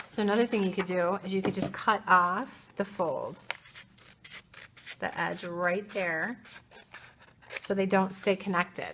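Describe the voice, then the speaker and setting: Amid noticeable background noise, a woman with an American accent speaks at a medium pitch and a fairly slow pace, her intonation monotone and flat, with long, frequent pauses. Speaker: art teacher. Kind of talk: tutorial. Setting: art studio. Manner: casual, chatty.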